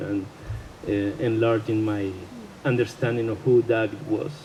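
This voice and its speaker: A man's medium-pitched voice, fairly slow and fairly even in intonation, over noticeable background noise. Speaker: friend or partner of the deceased. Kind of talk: eulogy speech. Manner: halting, hesitant.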